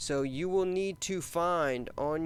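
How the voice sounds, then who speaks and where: With audible room echo, a man speaks using ordinary pitch variation. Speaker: HVAC instructor. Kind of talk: lecture.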